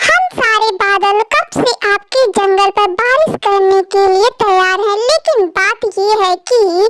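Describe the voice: A woman uses a squeaky, cartoonish character voice at an extremely high pitch, speaking at a fairly slow pace.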